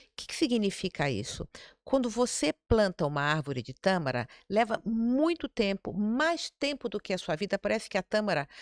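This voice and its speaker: A woman's medium-pitched voice with very wide pitch swings at a moderate pace, in a dry, close sound with no echo and a very clean recording with a silent background. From Brazil, Rio de Janeiro. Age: 60s. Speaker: city councillor, former investment banker. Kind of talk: podcast interview conversation.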